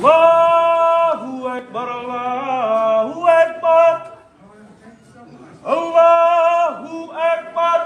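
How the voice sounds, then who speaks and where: In an Indonesian accent, a man speaks at an extremely high pitch for a man with ordinary pitch variation, a very slow pace and long, frequent pauses, over noticeable background noise. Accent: Javanese. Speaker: muezzin. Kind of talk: Islamic call to prayer.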